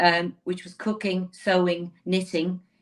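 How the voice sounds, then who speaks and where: A woman with a Dublin accent. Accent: Dublin Irish. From Ireland, Dublin inner city. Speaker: lawyer. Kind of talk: interview conversation. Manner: animated.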